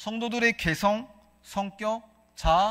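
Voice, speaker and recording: The voice is raised and projected, with a bright, sharp tone and a Gyeongsang accent. It moves at a fairly slow pace. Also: man, very clean recording, silent background. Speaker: pastor. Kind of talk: sermon. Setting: church.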